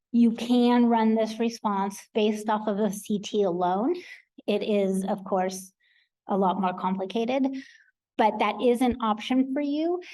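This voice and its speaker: A woman's fairly high voice with a dark, mellow tone and ordinary pitch variation, plus audible room echo. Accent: American. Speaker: clinical research professional. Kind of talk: conference presentation.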